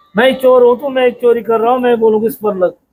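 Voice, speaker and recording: Dry and close with no echo, a man's extremely high voice holds a fairly even intonation. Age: 60s. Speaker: village temple priest. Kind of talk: interview.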